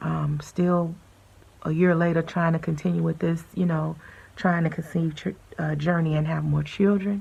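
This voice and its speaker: Somewhat breathy and dark, mellow in tone, a woman speaks at a fairly low pitch and moderate pace with monotone, flat intonation. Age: 40s. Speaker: vlogger sharing personal health journey. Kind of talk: personal testimony. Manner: hesitant, many fillers.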